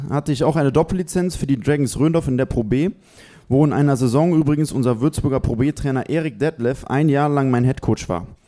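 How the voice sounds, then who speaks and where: Fairly high in pitch, a man speaks at a fairly quick pace with a dark, mellow tone. The recording is very clean with a silent background. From western Germany (Bonn). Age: 20s. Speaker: basketball player. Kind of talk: reading aloud his CV. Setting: live audience in a restaurant.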